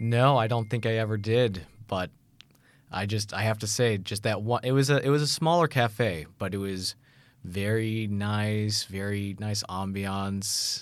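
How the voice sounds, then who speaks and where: A man with an American accent and an ordinary speaking voice, fairly low in pitch and fairly slow, on a very clean recording with a silent background. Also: ordinary pitch variation. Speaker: university student. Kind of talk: casual interview.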